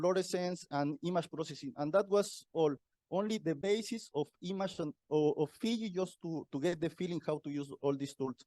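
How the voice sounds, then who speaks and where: Man with a Mexican accent, fairly high in pitch with ordinary pitch variation, at a moderate pace, with a dark, mellow tone and a dry, close sound with no echo against a quiet background. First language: Spanish. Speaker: university researcher. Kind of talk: conference talk. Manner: halting, repetitive.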